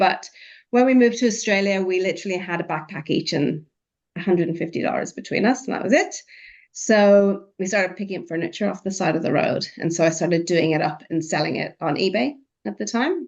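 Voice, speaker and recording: A woman with an Irish accent, medium pitch, ordinary pitch variation and a fairly quick pace. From Ireland. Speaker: artist. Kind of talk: podcast interview.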